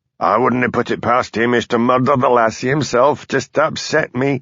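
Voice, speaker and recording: A man's raspy, put-on character voice at medium pitch, monotone and flat in intonation, at a fairly quick pace. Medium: read story. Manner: sardonic.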